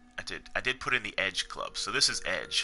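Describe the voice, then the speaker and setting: The speaker is a man. He talks quietly. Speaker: video game streamer. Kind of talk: live game stream chat. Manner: quiet, low-key; hesitant, repeats words.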